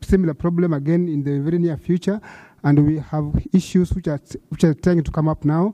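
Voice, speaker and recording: Speaking at a moderate pace, a man with a high pitch and dark, mellow tone keeps fairly even intonation in a dry, close sound with no echo. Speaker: audience member asking a question. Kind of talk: conference Q&A question. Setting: conference hall with audience. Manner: halting, many fillers.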